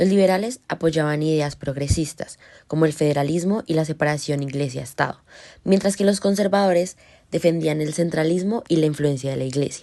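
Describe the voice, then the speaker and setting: This woman has a very deep, low pitch and a dark, mellow tone. She talks at a fairly quick pace with ordinary pitch variation. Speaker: podcast host. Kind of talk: scripted narration. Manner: formal.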